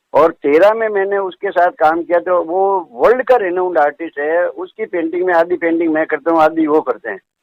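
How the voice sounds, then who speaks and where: A man's high-pitched voice at a moderate pace, with ordinary pitch variation and hardly any pauses. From Rajasthan, Jodhpur. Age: 70s. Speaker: artist and retired research officer. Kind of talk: interview.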